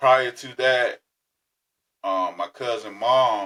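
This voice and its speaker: A man talks with an American accent. The recording is dry and close, with no echo. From Florida. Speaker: podcast host. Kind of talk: personal storytelling. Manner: casual.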